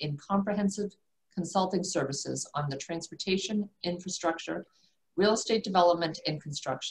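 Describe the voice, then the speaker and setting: Somewhat breathy, the voice carries an American accent, a moderate pace and ordinary pitch variation. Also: woman. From South Shore, Massachusetts. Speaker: commercial banker. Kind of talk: prepared remarks.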